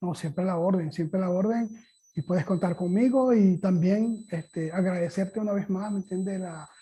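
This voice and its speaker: This man's voice sits high in pitch, with a dark, mellow tone, fairly even intonation and a moderate pace. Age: 60s. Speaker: guitar teacher and concert musician. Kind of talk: interview. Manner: halting.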